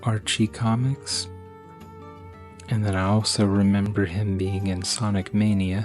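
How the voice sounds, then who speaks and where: Soft-spoken and relaxed, a man talks at a fairly slow pace and a fairly low pitch with ordinary pitch variation while music plays in the background. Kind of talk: ASMR soft-spoken talk to camera showing a collection. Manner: soft-spoken, relaxed.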